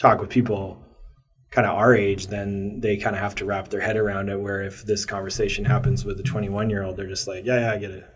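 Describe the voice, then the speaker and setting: With audible room echo, a man with an American accent speaks at a fairly low pitch. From Maryland, US. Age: 30s. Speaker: brand co-founder and photographer. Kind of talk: interview.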